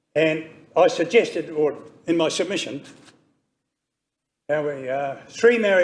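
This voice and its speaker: This man has a high-pitched voice and a New Zealand accent. He talks at a fairly slow pace. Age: 80s+. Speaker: member of the public making a submission. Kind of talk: public hearing submission.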